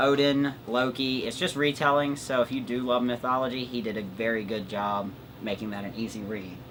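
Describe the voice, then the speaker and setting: Noticeable background noise sits behind a man's voice. He speaks at a medium pitch and a moderate pace with fairly even intonation. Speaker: booktuber. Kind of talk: casual chat. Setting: home recording with pets.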